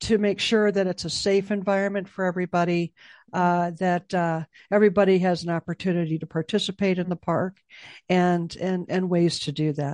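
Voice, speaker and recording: The speaker has an American accent and a flat, monotone delivery at a fairly quick pace. The sound is dry and close, with no echo. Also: woman, medium pitch for a woman. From Chicago. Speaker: memorial foundation executive director, military veteran. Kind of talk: interview. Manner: halting, many fillers.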